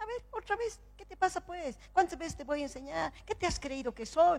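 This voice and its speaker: This put-on character voice sits at an extremely high pitch and moves at a moderate pace. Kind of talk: colloquial. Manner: harsh, impatient, scolding.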